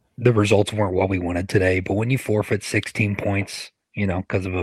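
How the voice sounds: With a slightly husky edge and a fairly low pitch, a man talks at a fairly quick pace with fairly even intonation. The sound is dry and close, with no echo.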